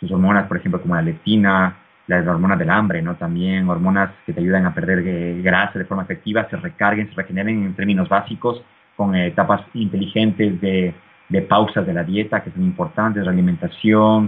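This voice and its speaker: This man has a plain, everyday voice, fairly low in pitch with ordinary pitch variation, and he talks at a fairly quick pace. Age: 30s. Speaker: fitness YouTuber. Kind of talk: interview.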